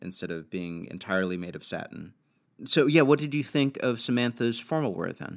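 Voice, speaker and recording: On a very clean recording with a silent background, a man with an American accent speaks at medium pitch with very wide pitch swings and big swings in loudness. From New York. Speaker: podcast co-host. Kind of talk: casual chat.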